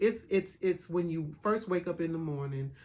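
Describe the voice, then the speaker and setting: With lively intonation, a man with a fairly high pitch speaks in an unremarkable speaking voice. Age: 60s. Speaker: host's sister. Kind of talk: casual chat.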